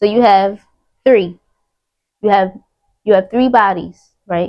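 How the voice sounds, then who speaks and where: This woman has a normal speaking voice, with medium pitch and fairly even intonation. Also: fairly slow pace. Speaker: spiritual content creator. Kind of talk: spiritual monologue.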